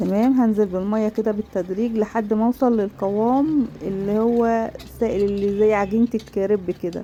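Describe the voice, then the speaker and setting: In an ordinary speaking voice, a woman talks at a moderate pace with hardly any pauses and very even loudness. Her pitch is fairly high and her intonation fairly even. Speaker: cooking channel host. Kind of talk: cooking tutorial. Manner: casual, many fillers.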